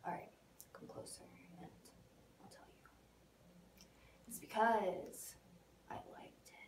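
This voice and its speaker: A woman's menacing whisper with big swings in loudness. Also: fairly slow pace. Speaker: actor. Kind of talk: acted monologue. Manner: hushed, menacing confiding tone. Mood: secretive, intimate. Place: studio.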